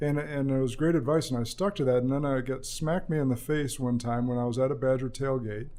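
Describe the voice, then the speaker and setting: At a very fast pace, the voice has a dark, mellow tone, fairly even intonation and very even loudness, with audible room echo. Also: man, medium pitch for a man. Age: 30s. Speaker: podcast host and financial advisor. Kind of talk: interview podcast.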